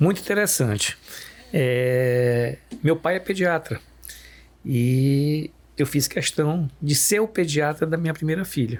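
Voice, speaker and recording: A man speaks very slowly at a fairly high pitch, with long, frequent pauses. His loudness stays very even, and his pitch varies ordinarily. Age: 60s. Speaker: pediatrician. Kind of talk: podcast conversation.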